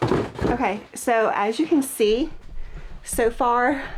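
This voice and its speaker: Fairly high female speech, ordinary in pitch variation, amid noticeable background noise. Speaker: part-time online reseller. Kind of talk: casual talk to camera while organizing. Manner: soft-spoken, relaxed.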